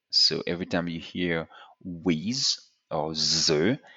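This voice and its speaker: In a French accent, a man with a very deep, low pitch speaks at a very slow pace, his pitch varying in an ordinary way. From France. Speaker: French tutor. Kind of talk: tutorial.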